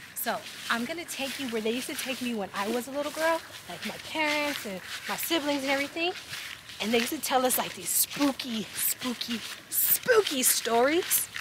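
A woman speaks in a dry recording without echo, heavy noise loud behind her. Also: moderate pace. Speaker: storyteller parent. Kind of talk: casual vlog storytelling. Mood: spooky, playful alarm. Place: open country.

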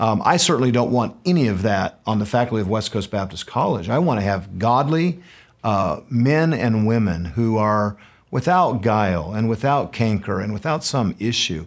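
The room is quiet. A man speaks at a medium tempo, his intonation lively. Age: 50s. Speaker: pastor and college president hosting podcast. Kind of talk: casual chat. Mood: earnest, passionate. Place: studio.

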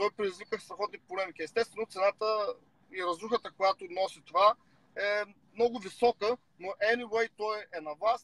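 Speaking with an Eastern European accent, a man has a high pitch, a bright, sharp tone and ordinary pitch variation in a dry sound with no echo. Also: moderate pace. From Bulgaria. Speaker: rapper and political commentator; political commentator. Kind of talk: casual chat. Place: car. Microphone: video call.

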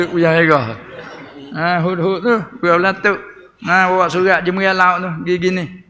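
A man's high-pitched voice at a moderate pace, broken by long, frequent pauses, over light background noise. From Thailand. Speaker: religious teacher. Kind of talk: religious lecture. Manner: animated. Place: hall. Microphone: podium.

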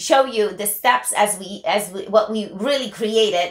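A woman speaks at a moderate pace. Room echo can be heard. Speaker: co-host. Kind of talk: talk show commentary. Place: office.

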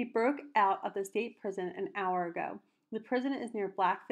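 Reading aloud in a natural voice, the speaker uses ordinary pitch variation over a quiet background.

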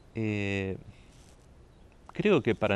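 The recording has a dry sound with no echo, carrying a man's fairly low-pitched voice. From Saladas, Corrientes, Argentina; Corrientes, Argentina. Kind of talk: interview. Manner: halting, many repetitions and fillers. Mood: calm, measured. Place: garden.

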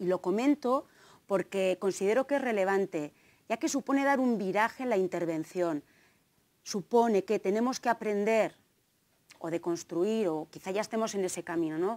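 With lively intonation, a woman speaks in a slight Navarrese accent. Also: moderate pace. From Navarre, Spain (Tafalla); Navarre, Spain. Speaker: gender studies lecturer and researcher; gender studies lecturer. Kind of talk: conference talk. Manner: hesitant, many fillers. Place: hall. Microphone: lapel.

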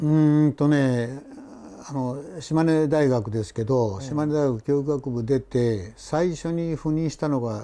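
A man's fairly high voice with a dark, mellow tone, ordinary pitch variation and a fairly slow pace. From Shimane, Oda; Shimane. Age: 70s. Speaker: retired teacher. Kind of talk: interview. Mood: relaxed, friendly reminiscing. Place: home room. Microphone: lapel.

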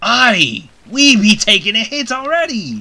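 A fairly high, fairly slow put-on character voice. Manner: shouting, alarmed.

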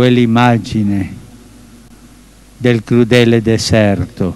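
The sound is dry with no echo. A man speaks at a very slow pace with ordinary pitch variation. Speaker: pope. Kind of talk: Sunday Angelus address to a crowd, religious address. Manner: calm, solemn. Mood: calm, solemn. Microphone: podium.

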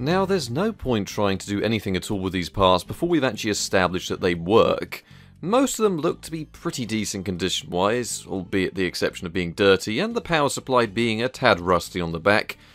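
With music in the background, a man speaks at a fairly low pitch, using lively intonation and hardly any pauses. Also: fairly quick pace. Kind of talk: tutorial commentary.

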